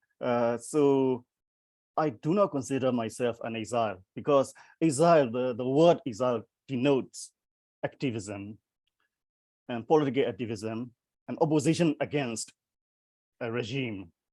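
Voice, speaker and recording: With a Burmese accent and a dark, mellow tone, the man speaks at medium pitch with long, frequent pauses. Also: ordinary pitch variation, moderate pace. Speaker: poet. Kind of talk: panel discussion. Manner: halting.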